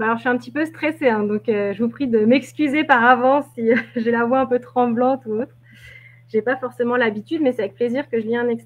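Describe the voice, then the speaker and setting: A woman speaks quickly, at a fairly quick pace, in a high voice. Her intonation is fairly even. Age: 30s. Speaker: novelist. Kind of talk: interview. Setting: live video stream. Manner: halting.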